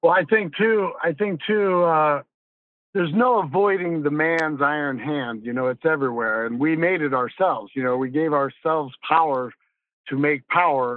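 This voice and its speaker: A man speaks at a moderate pace in a normal speaking voice. His pitch is fairly high and his intonation lively. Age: 50s. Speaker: podcast host. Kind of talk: casual chat.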